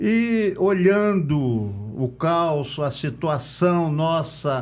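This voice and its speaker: Amid audible room echo, a man's voice makes very wide pitch swings. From Brazil, Campos dos Goytacazes (Rio de Janeiro state). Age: 60s. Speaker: local political candidate. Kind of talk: podcast interview.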